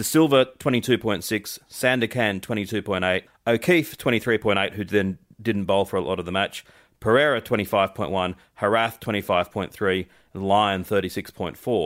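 Speaking at a moderate pace with an Australian accent, a man with a fairly low pitch shows ordinary pitch variation in a very clean recording with a silent background. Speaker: cricket co-host. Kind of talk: casual chat.

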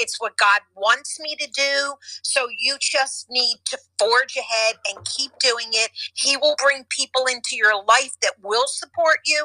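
In a raised, projected voice, a woman with a high pitch talks at a fairly slow pace with ordinary pitch variation, and the sound is dry and close with no echo. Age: 70s. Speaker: real estate agent and podcaster. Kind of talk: casual chat. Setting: audio chat app room.

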